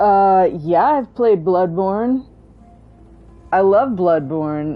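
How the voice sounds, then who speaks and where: A woman at medium pitch with an American accent, very slow in pace and lively in intonation, with music in the background. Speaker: video game streamer. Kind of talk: casual live-stream chat. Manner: low energy; halting, many fillers.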